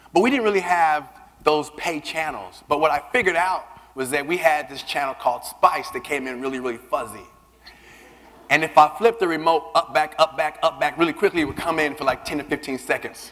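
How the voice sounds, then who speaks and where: A man's animated, fairly high-pitched voice at a fairly quick pace, with ordinary pitch variation and noticeable background noise. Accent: American. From US South, Louisiana. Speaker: keynote speaker, LGBT advocate. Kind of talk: keynote speech. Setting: stage with audience. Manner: animated, conversational with audience.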